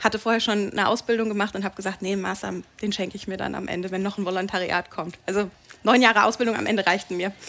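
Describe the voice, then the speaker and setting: At a very fast pace, a woman talks in a flat monotone at a medium pitch. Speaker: TV and radio presenter. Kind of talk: talk show interview. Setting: pub stage with live audience. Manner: talkative.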